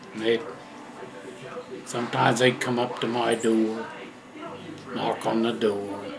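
Music plays behind a man speaking at a fairly slow pace. His intonation is monotone and flat, broken by long, frequent pauses. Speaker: retired truck driver. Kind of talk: casual storytelling. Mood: relaxed, reminiscing. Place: home room.

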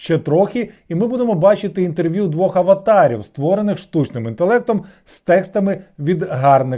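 A man with a high pitch and a dark, mellow tone speaks at a moderate pace, his intonation lively and his loudness swinging widely. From Kyiv, Ukraine. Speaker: video blogger. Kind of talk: satirical news commentary.

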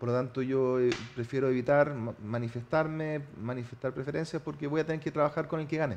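With a Chilean accent, a man speaks at a fairly quick pace, his fairly high pitch held in fairly even intonation. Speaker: mayor-elect. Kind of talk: TV interview. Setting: TV studio.

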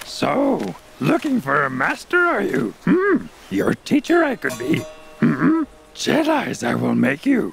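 A man speaks in a cartoonish character voice at a fairly slow pace. Faint music plays in the background. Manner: inverted word order, sage-like; grumpy, dismissive.

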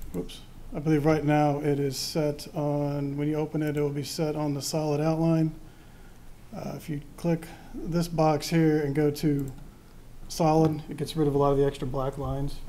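At a moderate pace, a man talks in a monotone, with flat intonation. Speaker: presenter. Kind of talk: software demonstration to a board.

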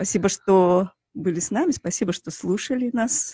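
A woman's voice comes through somewhat breathy with ordinary pitch variation. The sound is dry with no echo over a quiet background. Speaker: chemist; radio guest, guest. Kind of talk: radio interview. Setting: studio. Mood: warm, reminiscing. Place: studio. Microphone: studio mic.

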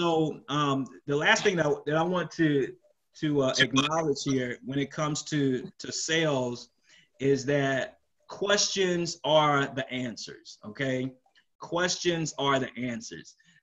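A very slow pace with ordinary pitch variation over a quiet background. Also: man, fairly high pitch for a man. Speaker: telecom business owner and sales speaker. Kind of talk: webinar presentation. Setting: video call. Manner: animated, casual. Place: home room.

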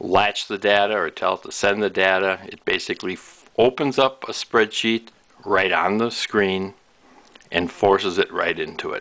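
Speaking at a fairly slow pace, a man has a fairly low pitch and a bright, sharp tone. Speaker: product demonstrator. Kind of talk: tutorial. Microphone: camera far.

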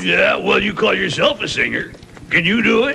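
A man speaks in a raspy, cartoonish character voice at a moderate pace. Background noise is clearly audible. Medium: puppet show. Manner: blustering, defensive.

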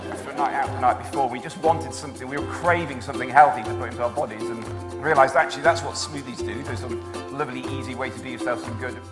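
Clear music plays in the background while the speech moves at a fast pace. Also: man.

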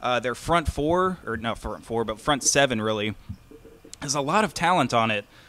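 Lively intonation marks this man's moderately paced speech over light background noise. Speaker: sports podcast co-host. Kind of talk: casual sports chat. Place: home room. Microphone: studio mic.

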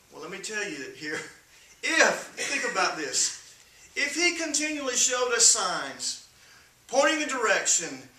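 Strong room echo surrounds a man speaking at a fairly slow pace in a high pitch with a bright, sharp tone.

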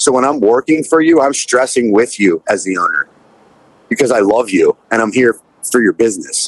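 At a moderate pace and very even loudness, a man speaks with ordinary pitch variation in a dry sound with no echo against a quiet background. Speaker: pop punk musician and restaurant owner. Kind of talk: casual chat.

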